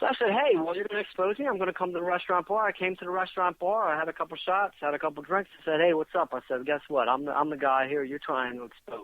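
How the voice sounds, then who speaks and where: Very fast delivery in an American accent, with hardly any pauses. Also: man, high pitch for a man, lively intonation. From Philadelphia, US. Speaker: paranormal podcast guest, activist. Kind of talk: casual chat. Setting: internet radio show. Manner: stutter; animated.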